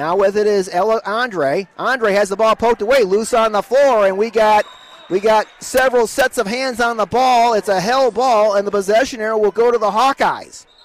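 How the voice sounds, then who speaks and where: A man talks in an animated tone with ordinary pitch variation. The sound is dry and close with no echo, and there is noticeable background noise. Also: very even loudness. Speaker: radio sports play-by-play announcer. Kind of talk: live play-by-play radio commentary, rapid ball-by-ball calls of a girls basketball game; radio broadcast, pregame intro and ads. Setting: courtside at a high school gym, broadcast on local radio.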